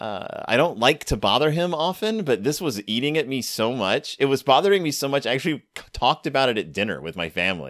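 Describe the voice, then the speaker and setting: A man at a medium pitch with vocal fry, very wide pitch swings, a very fast pace and hardly any pauses. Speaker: podcast host. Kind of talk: casual chat. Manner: enthusiastic.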